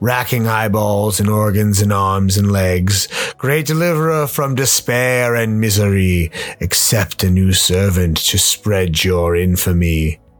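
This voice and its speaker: Speaking at a fairly slow pace, a man talks in a fairly low pitch. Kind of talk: rhyming verse. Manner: sinister, oily.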